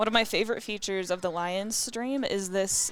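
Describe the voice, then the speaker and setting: With an American accent and a medium pitch, a woman speaks at a moderate pace with ordinary pitch variation while music plays in the background. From Colorado. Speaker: pinball commentator. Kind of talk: live commentary.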